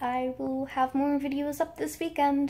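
This is a woman with an American accent. Her voice is high in pitch. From United States. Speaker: YouTuber. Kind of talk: story time vlog. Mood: excited, giddy storytelling. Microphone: phone near.

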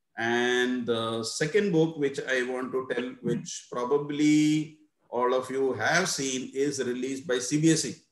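At a fairly slow pace, a man speaks at a medium pitch with ordinary variation. The room has an audible echo, though the background is quiet. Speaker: teacher trainer. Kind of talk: webinar presentation. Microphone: video call.

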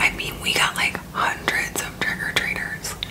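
Whispering and soft-spoken, a woman speaks at a moderate pace over loud background noise. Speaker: makeup vlogger. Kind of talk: casual vlog chat. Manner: soft ASMR whisper while rambling. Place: home room. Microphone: phone near.

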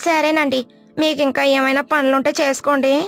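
A woman puts on a cartoonish character voice, pitched high and spoken fairly slowly. Her intonation stays monotone and flat. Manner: polite, deferential.

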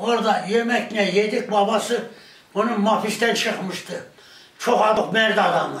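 Audible room echo surrounds a man speaking in a high pitch with fairly even intonation. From Turkey. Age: 80s+. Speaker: villager; village elder storyteller. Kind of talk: casual chat. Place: home room.

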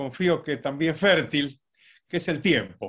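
A man is speaking against a quiet background. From Argentina, Buenos Aires. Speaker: economist, professor; professor. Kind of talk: talk; interview answer. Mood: warm, reflective, slightly humorous. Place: home room. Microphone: video call.

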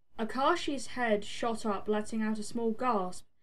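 An unforced reading voice, intonation fairly even

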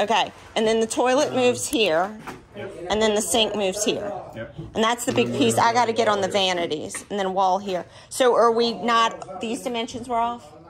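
The speaker moves at a moderate pace with ordinary pitch variation. Noticeable background noise runs underneath. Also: woman. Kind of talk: casual walkthrough discussion. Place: home room. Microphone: phone near.

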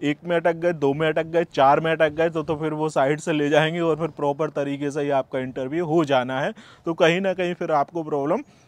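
A fairly high-pitched man at a moderate pace, monotone and flat, with hardly any pauses. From India. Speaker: YouTuber giving UK immigration advice. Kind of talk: video tutorial monologue. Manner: casual, conversational.

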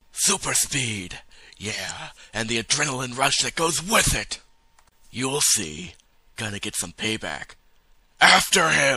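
A man's raspy, put-on character voice at medium pitch, with very wide pitch swings, a fairly slow pace and long, frequent pauses. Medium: machinima. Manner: cocky, laid-back, joking.

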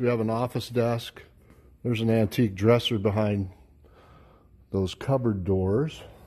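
Against a quiet background, a man talks at a moderate pace with long, frequent pauses. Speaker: auction house staff. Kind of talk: walkthrough sales commentary. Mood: light, joking. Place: hall. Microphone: phone near.

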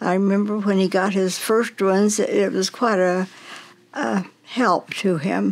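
A woman's medium-pitched voice at a very slow pace, with ordinary pitch variation. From Nevada. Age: 90s. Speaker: grandmother being interviewed. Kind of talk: interview answer. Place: home room.

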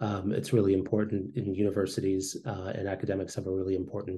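A man speaks with a dark, mellow tone at a fairly low pitch. His voice is somewhat breathy, and his intonation stays fairly even. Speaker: public health researcher; remote panelist. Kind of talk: academic webinar presentation. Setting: video call. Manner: halting, many fillers and repetitions. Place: home room. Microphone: video call.

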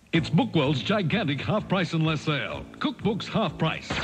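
Music plays in the background as a man speaks. His intonation is lively and his pace moderate. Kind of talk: TV commercial read.

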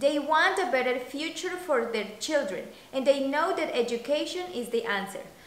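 With a Spanish accent, a woman talks at a moderate pace in a high pitch with lively intonation, and the room echo is audible. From Colombia. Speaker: coffee business founder. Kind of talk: scripted narration. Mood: calm, earnest.

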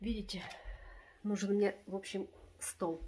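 The pace is very slow. The voice sounds somewhat breathy. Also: woman. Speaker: home vlogger. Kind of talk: casual vlog chat. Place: home room. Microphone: phone near.

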